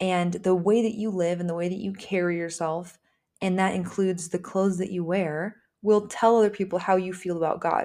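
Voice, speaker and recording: Her voice at a medium pitch, a woman speaks with monotone, flat intonation. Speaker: podcast host. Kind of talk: solo podcast monologue on faith topics.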